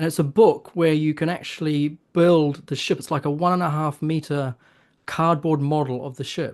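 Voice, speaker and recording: In a New Zealand accent, a man speaks at a moderate pace and fairly high pitch with fairly even intonation against a quiet background. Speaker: author. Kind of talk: interview. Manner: halting, with many fillers.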